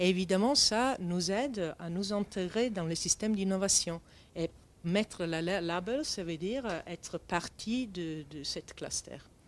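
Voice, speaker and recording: Speaking at a fairly slow pace with a non-native accent, a woman of medium pitch uses ordinary pitch variation. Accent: foreign accent in French. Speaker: start-up founder. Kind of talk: interview. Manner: halting.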